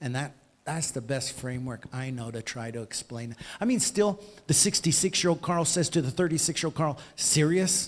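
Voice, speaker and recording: Fairly high, somewhat breathy male voice with an American accent, lively intonation and a moderate pace. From USA. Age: 60s. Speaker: author and former aid worker. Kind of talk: interview. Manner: halting.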